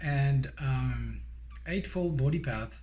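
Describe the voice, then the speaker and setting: A man speaks with a strong French accent. Room echo can be heard. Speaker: Buddhist dharma teacher. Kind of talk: guided meditation; dharma teaching. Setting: recorded online teaching. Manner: hesitant, many fillers.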